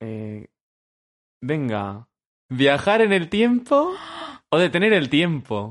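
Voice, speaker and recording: A man speaks at a very slow pace in a fairly high voice, his pitch swinging very widely between long, frequent pauses. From Madrid, Spain. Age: 20s. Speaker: podcast co-host. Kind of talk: casual chat.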